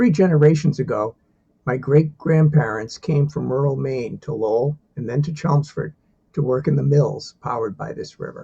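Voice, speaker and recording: A man's dark, mellow, somewhat breathy voice at a fairly high pitch, with ordinary pitch variation and a moderate pace. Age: 60s. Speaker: divinity student and software engineer. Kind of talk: self-introduction video.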